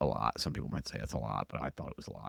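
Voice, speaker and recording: A man with vocal fry at a very fast pace. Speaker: podcast host. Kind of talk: casual monologue. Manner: hesitant, many fillers; sounds stiff and formal.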